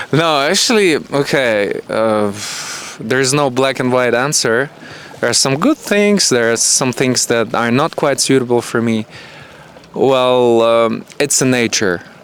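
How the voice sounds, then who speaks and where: Over noticeable background noise, a man speaks at a medium pitch and a fairly slow pace. His loudness is very even, and his pitch varies in an ordinary way. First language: Russian and Ukrainian. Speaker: hotel camera worker. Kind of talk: casual interview.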